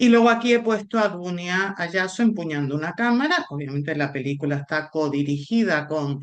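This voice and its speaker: Amid audible room echo, a woman with a Canarian accent talks at a moderate pace with lively intonation. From Canary Islands, Spain. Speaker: film scholar, lecturer. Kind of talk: lecture.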